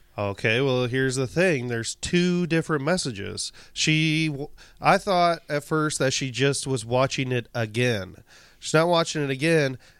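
Talking at a moderate pace, a man uses an ordinary speaking voice with a fairly high pitch. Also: ordinary pitch variation. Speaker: podcast co-host. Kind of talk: casual chat.

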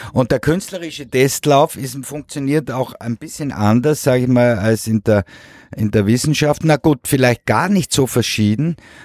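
Lively intonation at a fairly slow pace, in a very clean recording with a silent background and a dry, close sound with no echo. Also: man. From Switzerland. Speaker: painter. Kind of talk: interview. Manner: halting.

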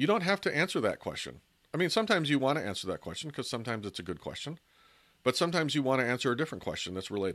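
Over a quiet background, a man talks at a very fast pace with vocal fry. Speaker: podcast host. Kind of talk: solo podcast talk on persuasion tips.

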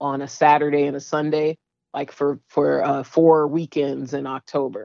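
With an American accent, a woman speaks fairly slowly at a very deep, low pitch. Her intonation stays fairly even. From San Francisco, US West Coast. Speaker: sculptor. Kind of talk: interview conversation.

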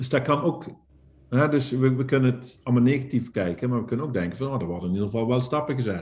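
A man's somewhat breathy, medium-pitched voice at a very fast pace. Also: ordinary pitch variation. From Netherlands, northern Limburg. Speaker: poultry farmer and entrepreneur. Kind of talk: casual interview.

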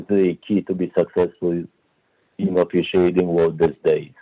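A man with a Polish accent speaks in a dark, mellow tone, the sound dry and close with no echo. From Poland. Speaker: referee development director. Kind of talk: interview. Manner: hesitant, many fillers.

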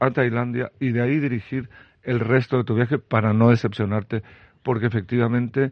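This is a plain, everyday voice. It moves along at a moderate pace. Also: man. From Chile. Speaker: restaurant founder and Thailand expert. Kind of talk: radio interview.

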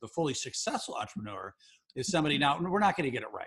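The voice has a slightly husky edge. Its tone is fairly bright. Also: man.

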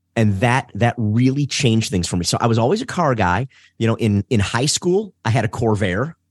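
A normal speaking voice from a man with an American accent, medium pitch, moderate pace, lively intonation and very even loudness, over a quiet background. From Detroit, Michigan. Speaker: race driving instructor. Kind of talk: casual interview.

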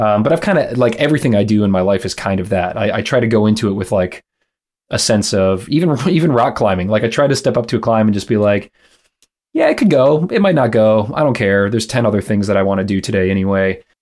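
Speaking very fast with an American accent, a man uses a fairly low pitch and ordinary pitch variation. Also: very clean recording, silent background. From US Midwest, Michigan. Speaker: actor and podcaster. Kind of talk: casual chat.

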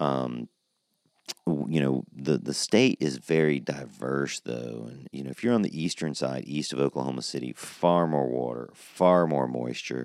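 With an American accent, a man speaks at a very deep, low pitch. His pace is fairly slow and his pitch variation ordinary. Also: dry, close sound with no echo. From US South (Georgia). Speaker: podcast host, cannabis grower. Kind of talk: solo podcast monologue. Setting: recorded on a porch. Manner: casual, many fillers.

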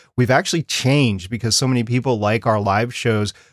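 Recorded dry and close with no echo against a silent background in a very clean recording, a man with a plain, everyday voice speaks at a fairly quick pace with ordinary pitch variation. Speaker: podcast creator and co-host. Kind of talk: casual interview chat.

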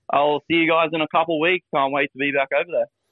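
This man talks at a very fast pace. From Australia. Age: 30s. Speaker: podcast host. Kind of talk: casual chat.

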